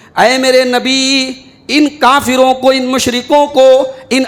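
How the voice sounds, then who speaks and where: Through noticeable background noise, a man with an extremely high pitch speaks in a passionate tone. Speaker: Islamic scholar delivering Friday sermon. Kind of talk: Friday sermon (khutba) to a congregation. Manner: passionate, oratorical, emphatic preaching.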